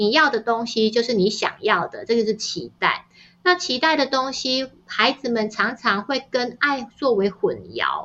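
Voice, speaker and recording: Bright, sharp tone at a fairly slow pace against a quiet background. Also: woman, high pitch for a woman, ordinary pitch variation. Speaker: novelist and parenting author. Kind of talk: interview conversation. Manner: gentle and even-paced.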